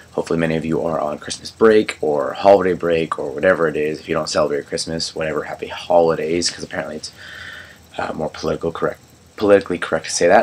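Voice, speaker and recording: Noticeable background noise behind a man at a very fast pace. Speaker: movie reviewer. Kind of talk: casual review vlog. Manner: halting, many fillers.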